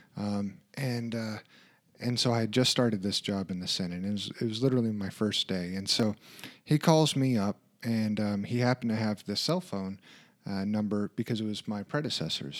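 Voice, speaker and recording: A man with a fairly low pitch talks at a moderate pace in an ordinary speaking voice, with ordinary pitch variation. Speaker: podcast co-host and project manager. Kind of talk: casual conversational podcast chat.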